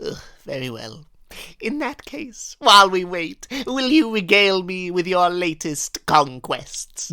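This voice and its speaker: A female-sounding put-on character voice at medium pitch, with very wide pitch swings and a fairly slow pace. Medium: comedy sketch. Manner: theatrical, grandiose.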